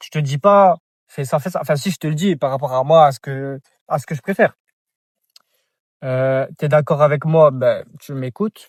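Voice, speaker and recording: A somewhat breathy man with a fairly high pitch speaks at a moderate pace, leaving long, frequent pauses. The sound is dry and close, with no echo. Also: ordinary pitch variation, very clean recording, silent background. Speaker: vlogger. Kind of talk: casual vlog monologue. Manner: halting, repetitive.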